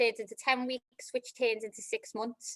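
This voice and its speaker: A Liverpool accent with a bright, sharp tone, a fairly quick pace and a dry, close sound with no echo. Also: woman. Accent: Liverpool (Scouse). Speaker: club operations manager. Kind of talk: career talk. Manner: hesitant, many fillers.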